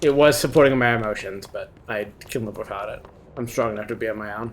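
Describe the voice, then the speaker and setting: The speech is mumbled and delivered at a very fast pace. Noticeable background noise is present. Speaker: video game streamer. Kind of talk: live gameplay stream chat. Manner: mumbling.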